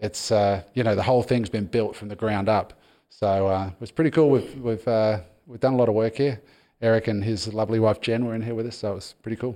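A very fast man's voice with an Australian accent, medium pitch and a dark, mellow tone over a quiet background. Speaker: podcast host. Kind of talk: casual chat.

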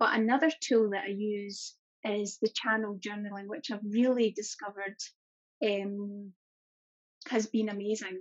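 With a Scottish accent, a woman talks at a moderate pace and medium pitch, keeping her intonation fairly even and leaving long, frequent pauses. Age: 40s. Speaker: corporate employee and holistic business owner. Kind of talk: interview.

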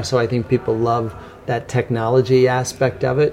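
Noticeable background noise behind a man with an American accent, moderate pace. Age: 50s. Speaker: bike industry executive. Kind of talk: interview. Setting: coffee shop.

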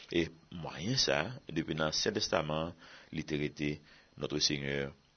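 This man's voice sits very deep and low, with vocal fry. He talks at a very slow pace. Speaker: Bible teacher. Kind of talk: sermon.

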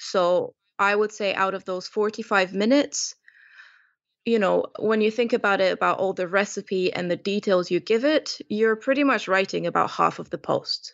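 A woman speaks with a Romanian accent. Her pitch is medium. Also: ordinary pitch variation, moderate pace. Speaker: food blogger. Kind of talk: interview.

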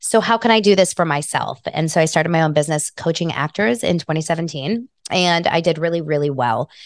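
An American woman talks at a fairly quick pace with hardly any pauses, at a fairly low pitch with ordinary pitch variation, in a normal speaking voice, the sound dry and close with no echo against a quiet background. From Los Angeles, US. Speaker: video coach and brand strategist. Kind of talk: interview conversation.

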